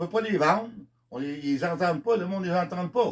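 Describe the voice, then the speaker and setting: A man's high-pitched voice with lively intonation. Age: 70s. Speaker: country singer. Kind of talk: monologue. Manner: halting.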